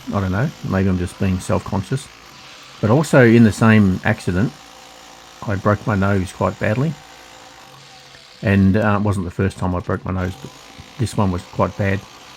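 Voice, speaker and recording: A man in an Australian accent with ordinary pitch variation and long, frequent pauses, over noticeable background noise. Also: fairly low pitch for a man, moderate pace. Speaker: hobbyist digger, video creator. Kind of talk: casual vlog talk. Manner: slightly slurred, hard to understand; halting.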